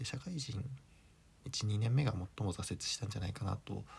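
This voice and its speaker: Vocal fry runs through this man's speech, and his pitch varies in an ordinary way. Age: 30s. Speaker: solo podcaster. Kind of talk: casual monologue.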